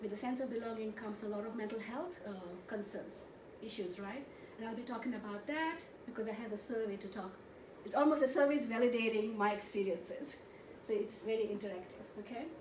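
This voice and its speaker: A woman's fairly high voice at a very fast pace, with ordinary pitch variation, audible room echo and noticeable background noise. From India, Goa. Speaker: therapist and conference presenter. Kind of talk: conference presentation. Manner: animated.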